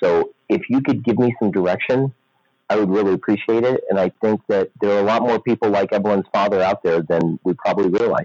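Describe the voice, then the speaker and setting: A man at a fairly quick pace, with very even loudness and ordinary pitch variation. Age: 50s. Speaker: podcast listener asking a question. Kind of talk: recorded voicemail question. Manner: rambling.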